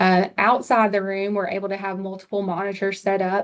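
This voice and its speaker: This woman talks at a moderate pace with a Southern US accent. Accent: Southern US, noticeable on some words. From US South. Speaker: hospital pharmacist presenter. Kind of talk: webinar presentation. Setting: online webinar.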